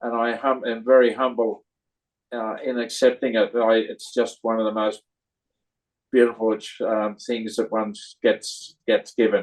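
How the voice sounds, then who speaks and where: Delivered with an Australian accent, the speech has monotone, flat intonation at a fairly slow pace. Long, frequent pauses break it up. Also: man, medium pitch for a man. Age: 80s+. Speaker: cinema owner, award recipient. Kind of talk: interview. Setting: video call. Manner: halting, many fillers.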